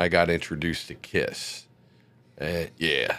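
A man's very slow speech with vocal fry and an American accent. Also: very clean recording, silent background. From Maryland, US. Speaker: internet radio DJ. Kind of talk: interview. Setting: studio.

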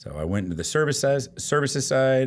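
Fairly slow delivery in a Texan accent, with ordinary pitch variation. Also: man. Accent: Texan, slow drawl. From Austin, Texas. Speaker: loan officer. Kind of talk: casual interview chat.

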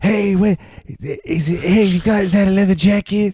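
A man's put-on character voice, high in pitch, at a very slow pace with fairly even intonation and a dry, close sound with no echo. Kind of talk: casual, slangy.

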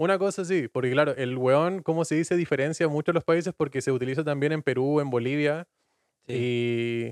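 A man speaks in a normal speaking voice, fairly high in pitch with ordinary pitch variation. His pace is moderate, and the sound is dry and close with no echo. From Chile, Patagonia (Puerto Natales). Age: 20s. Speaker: podcast guest. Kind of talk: casual chat.

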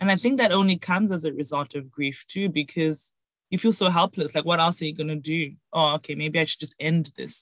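A woman's normal speaking voice, fairly low in pitch with ordinary pitch variation, at a fairly quick pace in a dry, close sound with no echo. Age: 30s. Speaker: podcaster, interview guest. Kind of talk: casual interview chat.

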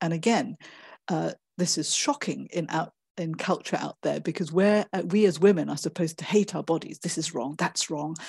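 A woman speaks at a fairly low pitch with vocal fry and ordinary pitch variation, at a moderate pace. The sound is dry and close with no echo, over a quiet background. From Malaysia. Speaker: author and performance artist. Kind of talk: interview conversation. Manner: hesitant, many fillers.

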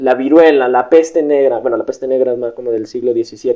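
A man's dark, mellow tone at a moderate pace. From Mexico, Guadalajara. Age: young. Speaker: podcast guest. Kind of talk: casual interview.

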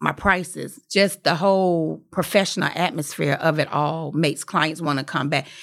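In a very clean recording with a silent background, a woman with an ordinary speaking voice talks at a moderate pace, with ordinary pitch variation and hardly any pauses. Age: 40s. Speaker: hairstylist and salon owner. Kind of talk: casual interview. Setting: studio.

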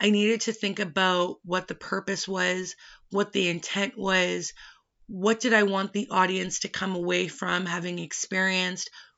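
In a Western Canadian accent, a woman speaks with monotone, flat intonation. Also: medium pitch for a woman, moderate pace. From British Columbia, Canada. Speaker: podcast host. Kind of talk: personal monologue.

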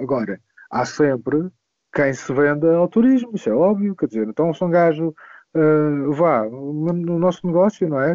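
In a European Portuguese accent, a man speaks at a fairly slow pace, his fairly high voice carrying lively intonation. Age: 30s. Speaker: DJ and music producer. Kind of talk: casual chat.

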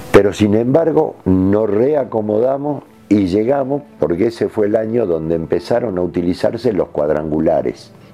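With music in the background, a man with a fairly low pitch speaks at a moderate pace, using lively intonation and hardly any pauses. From Argentina, Jujuy. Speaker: retired footballer. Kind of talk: interview.

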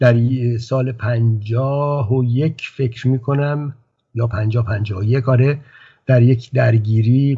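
A man with a medium pitch and a somewhat breathy voice talks at a very slow pace with fairly even intonation. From Iran, Tehran. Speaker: writer. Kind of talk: interview.

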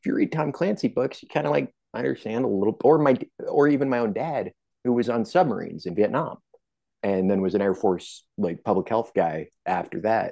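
Talking at a fairly quick pace, a man with a medium pitch and vocal fry swings his pitch very widely. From US, military family, moved often (Virginia). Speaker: author and Army veteran. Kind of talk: casual interview chat.

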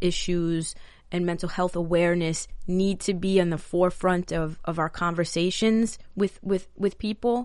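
Speaking at a fairly slow pace, a woman uses a medium pitch. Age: 30s. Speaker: podcast host. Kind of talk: solo monologue. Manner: halting.

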